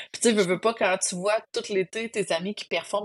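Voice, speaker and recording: A woman speaks at a moderate pace in a dry, close sound that has no echo. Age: 40s. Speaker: trail runner. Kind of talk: interview testimony.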